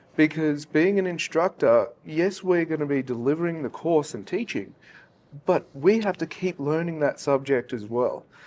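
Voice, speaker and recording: With an Australian accent, a man speaks at a moderate pace in a fairly high pitch with ordinary pitch variation. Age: young. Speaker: industry instructor. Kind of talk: panel discussion. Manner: halting.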